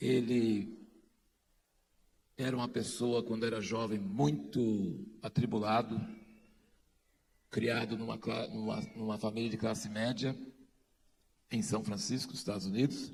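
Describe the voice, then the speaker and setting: A man speaks at a medium pitch and fairly slow pace. His pitch varies in an ordinary way, with long, frequent pauses. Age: 60s. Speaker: conference speaker. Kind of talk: speech to an audience.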